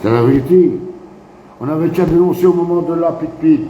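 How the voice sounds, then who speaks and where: A man talks in a high pitch with an animated tone. Noticeable background noise and audible room echo surround him. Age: 60s. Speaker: activist live streamer. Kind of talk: casual live stream monologue. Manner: repetitive, animated.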